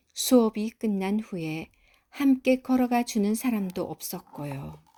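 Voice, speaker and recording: Speaking at a very slow pace, a woman has a fairly high pitch and a dark, mellow tone. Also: lively intonation. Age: old. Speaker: grandmother reading a picture book to her granddaughter. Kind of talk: children's storybook reading.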